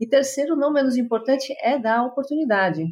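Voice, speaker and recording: The speaker has an unremarkable speaking voice with ordinary pitch variation. The delivery moves at a fairly quick pace. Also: woman. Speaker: tech company executive. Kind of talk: interview conversation.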